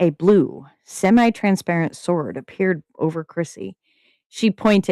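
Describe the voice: Plain reading aloud with ordinary pitch variation and a quiet background.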